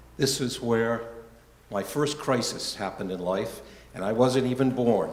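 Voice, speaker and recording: Audible room echo carries a man's medium-pitched voice. He moves at a fairly quick pace with ordinary pitch variation. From Rhode Island, US New England. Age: 70s. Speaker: church member giving life story talk. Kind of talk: personal testimony talk. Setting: church gathering, live-streamed.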